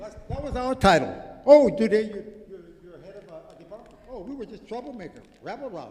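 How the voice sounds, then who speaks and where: A man with a Hawaiian accent talks at a fairly quick pace in a high pitch, with lively intonation and big swings in loudness. Audible room echo and noticeable background noise fill the recording. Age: 70s. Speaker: artist and activist. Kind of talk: conference speech. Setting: conference with audience. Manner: animated.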